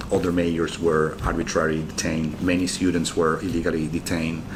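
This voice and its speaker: Through audible room echo and noticeable background noise, a man speaks very fast in a very deep, low, monotone, flat voice. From Venezuela, Caracas. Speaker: former mayor, diplomat and graduate student. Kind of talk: interview. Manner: hesitant, with many filler words.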